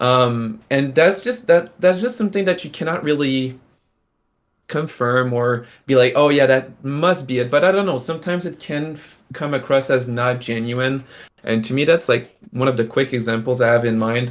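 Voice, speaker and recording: At a moderate pace, a man of medium pitch speaks with a French accent and ordinary pitch variation, recorded very cleanly against a silent background. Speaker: NFT artist and stream host. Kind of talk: casual live-stream chat. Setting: live stream. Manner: halting, many fillers.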